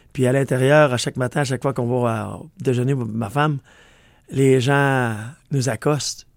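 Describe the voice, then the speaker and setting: A man with a Quebec accent talks at a fairly slow pace in a medium pitch and fairly even intonation, in a very clean recording with a silent background. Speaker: country singer. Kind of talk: radio interview. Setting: radio studio.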